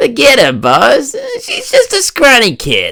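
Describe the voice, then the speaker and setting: A put-on character voice at a fairly slow pace. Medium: fan dub. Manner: blunt street talk.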